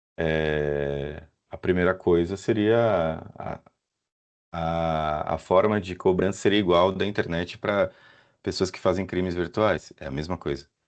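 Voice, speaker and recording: With a very deep, low pitch and fairly even intonation, a man speaks at a very slow pace. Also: big swings in loudness, quiet background. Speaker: professor, AI specialist. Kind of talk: Q&A answer at webinar.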